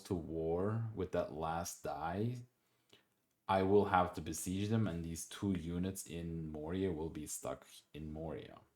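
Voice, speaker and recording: A man with a non-native accent speaks in a very deep, low pitch with ordinary pitch variation. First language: not English. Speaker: board game player and commentator. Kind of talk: gameplay commentary. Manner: halting, many repetitions and restarts; casual, conversational.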